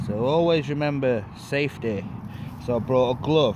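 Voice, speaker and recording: The room echo is audible. Background noise is noticeable too. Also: man. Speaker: magnet fishing vlogger. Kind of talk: outdoor vlog. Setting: outdoors by a river. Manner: loud; casual.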